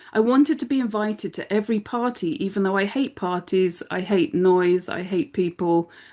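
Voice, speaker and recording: In an English accent, a woman is talking. Behind her, the background stays quiet. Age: 50s. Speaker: business strategist and podcast co-host. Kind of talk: casual chat.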